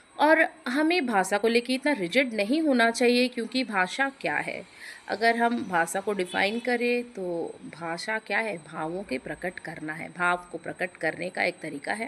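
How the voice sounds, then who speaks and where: A woman with a fairly high pitch talks with hardly any pauses. Her voice makes very wide pitch swings. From Odisha, India. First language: Odia (speaking Hindi). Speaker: YouTube creator. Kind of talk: short vlog monologue. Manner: conversational with hesitations.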